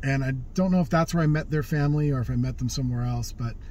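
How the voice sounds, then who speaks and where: Light background noise sits behind a man whose voice sounds dry, with no echo. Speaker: vlogger telling life stories. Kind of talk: casual vlog chat. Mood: relaxed, wry humor. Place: car. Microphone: phone near.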